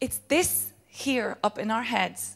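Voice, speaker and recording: An animated woman's voice, fairly high in pitch, with ordinary pitch variation. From Ireland. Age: 30s. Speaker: motivational speaker. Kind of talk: motivational talk.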